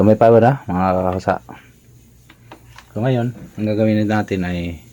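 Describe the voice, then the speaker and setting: A man talks at a fairly slow pace. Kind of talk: tutorial. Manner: casual, conversational.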